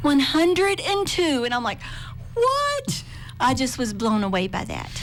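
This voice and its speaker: Speaking with a Southern Appalachian accent at a fairly slow pace, a woman is heard with noticeable background noise and audible room echo. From southwestern Virginia (Appalachia). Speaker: public media membership manager. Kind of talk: radio interview.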